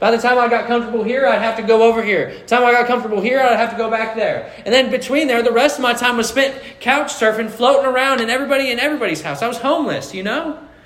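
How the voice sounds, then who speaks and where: Over noticeable background noise and audible room echo, a man speaks at an extremely high pitch, very fast and with hardly any pauses, his intonation fairly even. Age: 20s. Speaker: pastor. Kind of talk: sermon.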